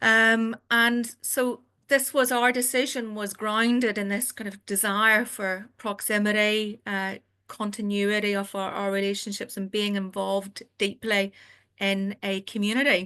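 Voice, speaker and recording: A woman in a Northern Irish accent, with a bright, sharp tone and monotone, flat intonation. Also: fairly high pitch for a woman, fairly slow pace, quiet background. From Northern Ireland. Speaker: family doctor. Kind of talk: webinar presentation. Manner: halting.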